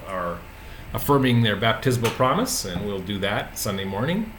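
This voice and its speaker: There is noticeable background noise and audible room echo. The man speaks with ordinary pitch variation. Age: 60s. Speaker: pastor. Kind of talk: casual video message. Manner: halting, many fillers.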